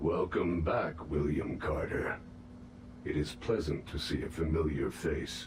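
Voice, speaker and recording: A man's put-on character voice, very deep and low, at a fairly slow pace, with clear background noise and a slight echo. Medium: video game. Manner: formal, measured.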